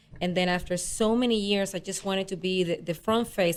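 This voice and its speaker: A woman with a Spanish accent speaks at medium pitch and a moderate pace on a very clean recording with a silent background. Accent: noticeable Spanish. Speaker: real estate agent. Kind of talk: radio interview.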